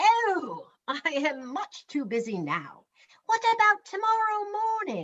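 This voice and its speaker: Someone uses a put-on character voice at an extremely high pitch and a fairly slow pace. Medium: read story. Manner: chipper, polite.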